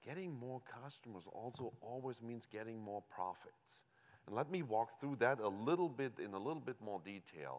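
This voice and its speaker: This man speaks with a German accent at a moderate pace, his medium-pitched voice carrying lively intonation. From Germany. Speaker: company executive. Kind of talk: conference presentation.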